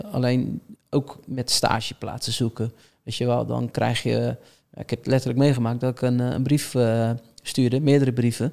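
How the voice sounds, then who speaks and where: A man talks at a moderate pace in a medium-pitched voice with monotone, flat intonation. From Netherlands, Rotterdam. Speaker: talent manager. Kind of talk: podcast interview.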